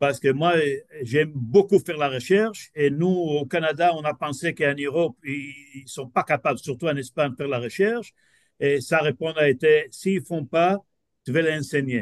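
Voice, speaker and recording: With a non-native accent, a man talks at a moderate pace and a fairly high pitch, his sound dry and close with no echo against a quiet background. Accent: non-native French learned in Quebec. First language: not French (speaking French). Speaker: business professor. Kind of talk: lecture. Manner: halting, many hesitations.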